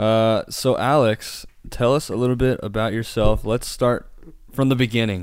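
Over a silent background in a very clean recording, a man with an unremarkable speaking voice talks at a moderate pace, his medium pitch following a fairly even intonation. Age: 20s. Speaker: podcast host. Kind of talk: casual chat.

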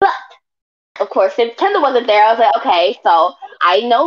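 A woman speaks in a plain, everyday voice. She keeps a moderate pace with lively intonation. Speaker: co-host. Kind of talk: casual chat. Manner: blunt, confident.

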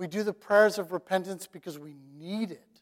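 Pitched high, a man speaks at a moderate pace with fairly even intonation. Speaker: pastor. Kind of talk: sermon; guided prayer, inviting listeners to close their eyes and reflect quietly. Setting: church. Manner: conversational, casual, joking.

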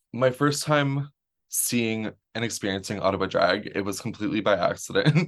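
This man has a plain, everyday voice with a Canadian accent, pitched in the medium range. His intonation is lively and his pace moderate. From Canada. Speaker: drag performer and farmer. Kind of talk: casual interview chat.

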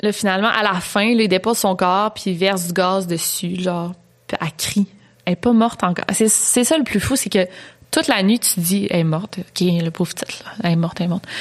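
At a fairly quick pace, a woman speaks in a normal speaking voice, medium in pitch, with ordinary pitch variation. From Quebec. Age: 20s. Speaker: true crime YouTuber. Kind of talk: storytelling; casual chat.

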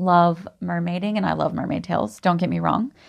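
The voice carries a West Coast accent. The background is quiet. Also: woman. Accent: American West Coast. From Oregon, US Pacific Northwest. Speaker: podcast host, spiritual practitioner. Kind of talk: personal monologue.

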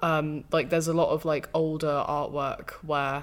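Speaking in a British accent, a woman with a very deep, low voice keeps a monotone, flat intonation. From Britain. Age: 20s. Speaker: film podcast host. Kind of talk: casual chat.

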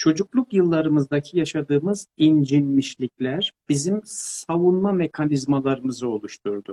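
Here a man talks at a moderate pace with a fairly high pitch. His tone is dark and mellow, and his intonation is lively. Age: 50s. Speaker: pedagogue and author. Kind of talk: interview. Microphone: too quiet at first.

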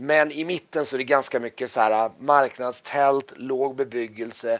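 A man's medium-pitched, fairly bright voice with fairly even intonation

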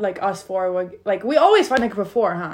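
A woman talks at a moderate pace. She speaks with a Turkish accent. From Turkey, Istanbul. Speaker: podcast co-host, college student. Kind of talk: casual chat. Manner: animated.

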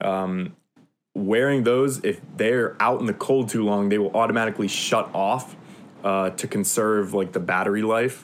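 Speaking at a moderate pace, a man uses a plain, everyday voice, fairly low in pitch with ordinary pitch variation. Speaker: college student. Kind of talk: casual chat.

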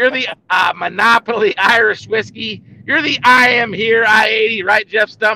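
A man's high-pitched, raised and projected voice at a fairly slow pace, with fairly even intonation. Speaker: podcast host. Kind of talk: casual interview. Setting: studio. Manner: self-described amateur talker, filler-heavy.

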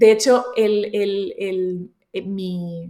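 The woman's voice sits at a medium pitch and varies in an ordinary way. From Colombia and Spain. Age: 30s. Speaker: entrepreneur and youtuber. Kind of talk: interview.

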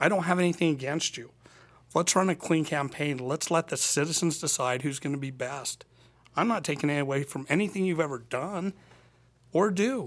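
A man's normal speaking voice with an American accent, fairly high in pitch, with ordinary pitch variation and a moderate pace, on a very clean recording with a silent background. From Annabella, Utah. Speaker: political candidate. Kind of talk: debate. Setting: studio.

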